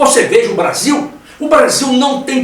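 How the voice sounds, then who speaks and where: Audible echo from the room mixes with noticeable noise in the background. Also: man. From Brazil. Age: 70s. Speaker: career consultant. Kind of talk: panel discussion.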